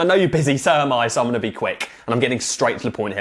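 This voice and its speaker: A man with an English accent, very fast, animated in tone, with lively intonation over noticeable background noise. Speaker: marketing coach. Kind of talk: tutorial.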